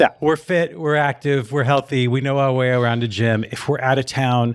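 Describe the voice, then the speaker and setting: This man talks very fast. His intonation stays fairly even. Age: 60s. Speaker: fitness marketing expert and author. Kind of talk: casual interview chat.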